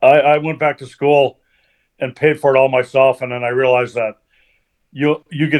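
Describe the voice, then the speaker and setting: Fairly quick speech from a man with an American accent. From Colorado, US. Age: 60s. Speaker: retired TV producer and children's author. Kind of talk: podcast interview. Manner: hesitant, repeats words.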